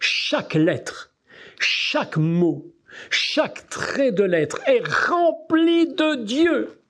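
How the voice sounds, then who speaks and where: A man's very slow pace with very wide pitch swings. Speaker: preacher. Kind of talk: sermon. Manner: animated.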